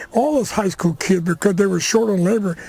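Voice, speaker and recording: A man speaks with an American accent and a high pitch. His pitch variation is ordinary. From Crockett, California, US. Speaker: rancher and war veteran. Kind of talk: oral history interview.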